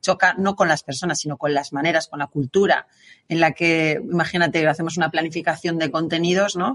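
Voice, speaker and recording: A woman's normal speaking voice, fairly low in pitch, at a fairly quick pace with fairly even intonation, in a dry, close sound with no echo. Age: 40s. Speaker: podcast host, marketing agency co-founder. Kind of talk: podcast interview.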